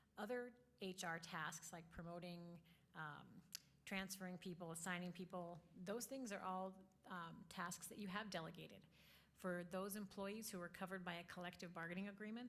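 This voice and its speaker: Fairly even intonation at a fairly quick pace, with audible room echo. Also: woman. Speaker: school district lawyer. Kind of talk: informal training talk to a board. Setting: in-person board meeting. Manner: soft-spoken.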